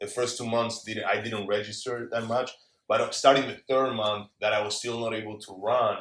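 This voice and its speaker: Speaking at a moderate pace, a man shows big swings in loudness. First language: Spanish. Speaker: former pro rugby player, entrepreneur. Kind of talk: casual interview chat.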